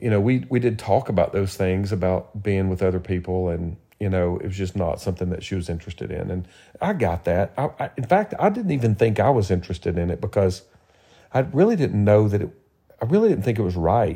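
A man speaks very fast in a Southern US accent, his voice fairly low with ordinary pitch variation. The tone is dark and mellow, somewhat breathy. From Tennessee. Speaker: podcast co-host. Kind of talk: casual chat.

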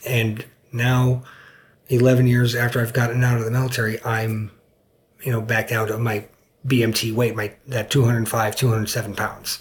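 At a fairly slow pace, a man with medium pitch speaks in a somewhat breathy voice with monotone, flat intonation. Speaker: military veteran. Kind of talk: interview. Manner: hesitant, many fillers.

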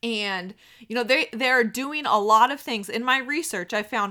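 Here a woman with an American accent speaks at a high pitch. Her tone is bright and sharp, and her intonation lively. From United States. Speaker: pregnancy podcast host. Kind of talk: solo monologue podcast. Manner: casual with many filler words.

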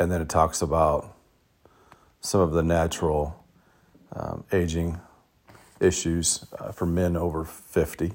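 Pausing long and often, a man speaks at a fairly slow pace in a very deep, low voice with monotone, flat intonation. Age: 50s. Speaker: podcast host. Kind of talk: solo podcast monologue. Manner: halting, many fillers.

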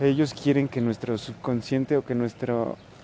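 A man's medium-pitched voice at a fairly slow pace over noticeable background noise. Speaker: podcast host. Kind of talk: casual monologue. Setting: at home, living room. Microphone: no microphone, may sound distant.

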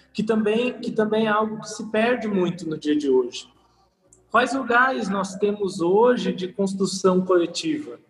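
With music in the background, a man with a high pitch speaks at a fairly slow pace and ordinary pitch variation. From Brazil, São Paulo city. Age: 20s. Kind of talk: casual podcast interview.

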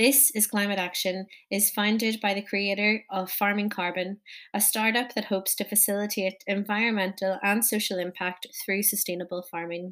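A woman with a Northern Irish accent speaks at a moderate pace and medium pitch in a monotone, flat delivery, on a very clean recording with a silent background. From Northern Ireland. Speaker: podcast host. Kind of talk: scripted introduction.

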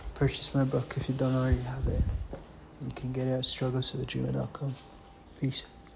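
The man talks at a moderate pace. He leaves long, frequent pauses. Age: 30s. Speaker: author and video diarist. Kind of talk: personal video diary. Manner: casual, halting with fillers.

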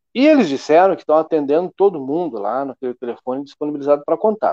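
This man speaks at a very fast pace with a fairly high pitch. His pitch varies an ordinary amount. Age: 40s. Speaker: local news show host. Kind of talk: casual news chat livestream. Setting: studio livestream on Facebook.

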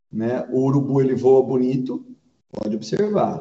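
At a moderate pace, the voice sounds somewhat breathy and carries lively intonation. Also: man. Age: 40s. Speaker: pastor. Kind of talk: casual chat.

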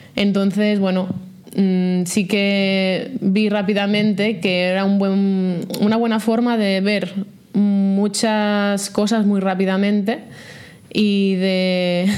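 A woman speaks very slowly at a medium pitch, with flat, monotone intonation and very even loudness. Room echo is audible, and background noise is noticeable. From Catalonia, Vallès Oriental. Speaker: startup founder and CEO. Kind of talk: interview.

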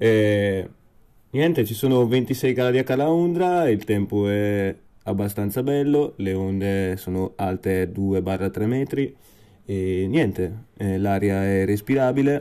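A man speaks at a very slow pace with fairly low pitch and a dark, mellow tone, and his intonation is lively. The recording is very clean, with a silent background. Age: 20s. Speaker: music podcast host. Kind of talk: casual music show hosting. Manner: animated.

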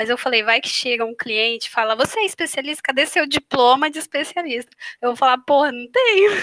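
With a bright, sharp tone and lively intonation, a woman talks at a fairly quick pace in a high pitch. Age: 20s. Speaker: photographer. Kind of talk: casual chat.

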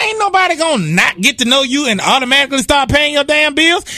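A man speaks in a raised, projected voice with an extremely high pitch and a playful tone. His pitch swings very widely at a fairly quick pace over noticeable background noise. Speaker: radio co-host. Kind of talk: radio DJ patter. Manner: playful, laughing, joking banter.

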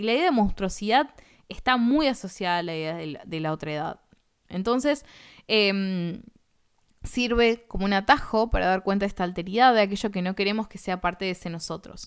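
A woman with an ordinary speaking voice talks at a fairly quick pace and medium pitch, her intonation lively and her loudness swinging widely. The recording is very clean, with a silent background. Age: 30s. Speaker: philosophy teacher. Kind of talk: lecture.

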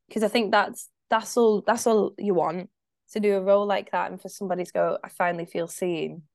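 A woman with a Scottish accent, medium pitch and a fairly quick pace, with fairly even intonation and big swings in loudness, against a quiet background. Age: 20s. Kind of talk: casual chat.

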